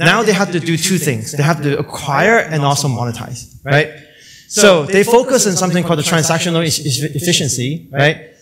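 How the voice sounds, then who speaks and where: A man's fairly high voice at a fairly quick pace, with noticeable background noise. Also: ordinary pitch variation. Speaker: conference speaker, company chief scientist. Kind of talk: conference talk. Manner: fast when excited.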